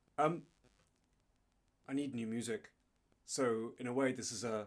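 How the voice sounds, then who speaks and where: Speaking with an English accent, a man uses a medium pitch and fairly even intonation, pausing long and often. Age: 50s. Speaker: guitarist. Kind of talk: casual chat.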